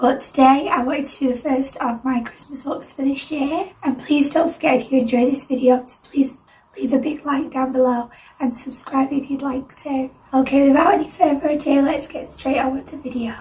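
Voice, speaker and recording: Over noticeable background noise, a woman with a high pitch talks at a fairly quick pace, her intonation fairly even but her loudness swinging widely. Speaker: makeup tutorial creator. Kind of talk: tutorial. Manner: casual, friendly.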